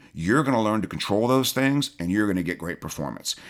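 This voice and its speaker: A man with a Southern US accent and lively intonation, on a very clean recording with a silent background. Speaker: shooting coach.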